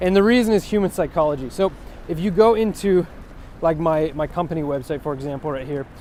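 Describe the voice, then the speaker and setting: In a Californian accent, a man talks at a very fast pace with a fairly high pitch. His tone is dark and mellow, with ordinary pitch variation. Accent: American (Californian). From US West Coast. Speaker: web developer. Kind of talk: tutorial. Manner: halting, many fillers and restarts.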